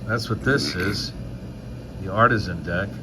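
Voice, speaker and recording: A man speaks with lively intonation in a fairly low voice. There is audible room echo and noticeable background noise. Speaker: magician and mentalist. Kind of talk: casual chat. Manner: loud, projecting.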